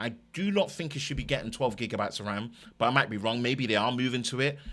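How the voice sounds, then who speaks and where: Speaking with an East London accent, a man uses a medium pitch, lively intonation and a bright, sharp tone. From East London, England. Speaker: tech YouTuber. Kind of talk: live stream chat.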